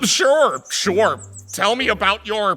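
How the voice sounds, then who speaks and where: Over background music, a man puts on a high-pitched character voice. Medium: audio drama. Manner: stammering, awkward.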